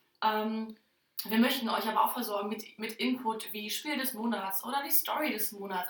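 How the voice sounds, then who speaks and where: A woman speaks at a fairly quick pace in a fairly high, somewhat breathy voice with ordinary pitch variation and audible room echo. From northern Germany, Oldenburger Land. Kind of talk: casual chat. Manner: many filler sounds.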